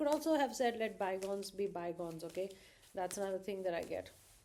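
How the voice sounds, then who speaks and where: Speaking at a very fast pace, a woman talks in a dark, mellow tone. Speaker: psychic tarot reader. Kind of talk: tarot reading monologue. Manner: halting, with many fillers.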